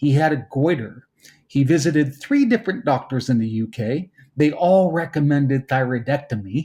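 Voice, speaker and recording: A man's fairly high, somewhat breathy voice with a dark, mellow tone and lively intonation, at a moderate pace, in a very clean recording with a silent background. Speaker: podcast host. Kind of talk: podcast interview.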